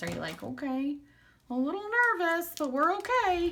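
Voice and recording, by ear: In a put-on character voice, a woman projects loudly with an extremely high pitch at a moderate pace.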